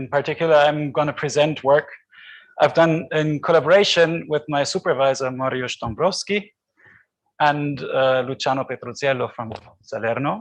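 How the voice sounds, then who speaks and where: A man with a fairly high pitch and ordinary pitch variation, at a moderate pace. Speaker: PhD student presenting research. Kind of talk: conference talk. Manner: loud.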